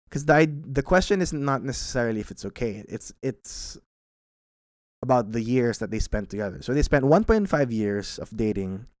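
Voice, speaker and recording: In a very clean recording with a silent background, a man with a normal speaking voice and a medium pitch talks at a fairly quick pace with lively intonation. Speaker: podcast host answering listener questions. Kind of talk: casual solo Q&A monologue.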